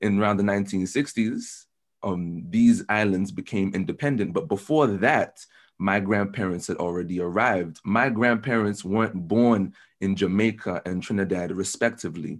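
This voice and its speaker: A man with an American accent speaks at a moderate pace with a fairly low pitch and ordinary pitch variation. The background is quiet. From London. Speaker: university student. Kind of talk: casual interview.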